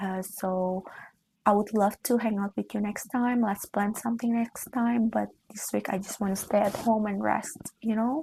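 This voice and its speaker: A woman's somewhat breathy, medium-pitched voice with a dark, mellow tone, fairly even intonation and a moderate pace. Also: quiet background. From Indonesia. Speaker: lifestyle vlogger. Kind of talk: casual chat.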